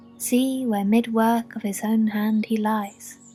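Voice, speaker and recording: Music plays in the background. Over it, a woman talks at a very slow pace. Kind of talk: ASMR poetry reading for sleep. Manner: soft, relaxing.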